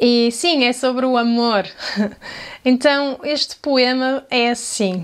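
With a European Portuguese accent, a woman speaks at a very slow pace. Her pitch is high, with ordinary variation. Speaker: video creator. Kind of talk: poetry reading aloud; casual vlog talk.

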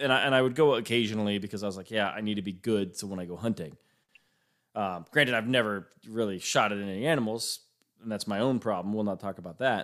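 On a very clean recording with a silent background, a man speaks at a very fast pace in a fairly low pitch with ordinary pitch variation. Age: 30s. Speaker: podcast host. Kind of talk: casual interview chat. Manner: casual, with filler words.

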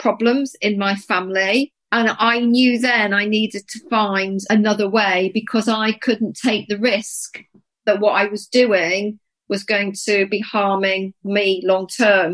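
A woman in a plain, everyday voice speaks at a fairly high pitch and a fairly slow pace with fairly even intonation. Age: 50s. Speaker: podcast co-host, menopause coach. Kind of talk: casual chat.

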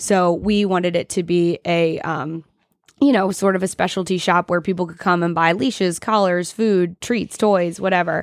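In a plain, everyday voice, a woman with an American accent talks at a fairly low pitch with fairly even intonation on a very clean recording with a silent background. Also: moderate pace. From US South, Augusta, Georgia. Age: 30s. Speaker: dog shop owner. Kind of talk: casual interview.

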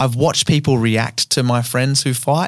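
A man with an Australian accent talks at a fairly quick pace. The recording is very clean, with a silent background. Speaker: comedian and podcast host. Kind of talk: casual chat.

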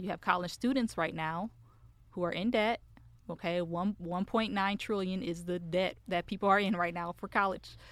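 A woman with an unremarkable speaking voice and medium pitch talks at a moderate pace with fairly even intonation on a very clean recording with a silent background. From Michigan, US. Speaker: business development representative in tech sales. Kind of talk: casual interview.

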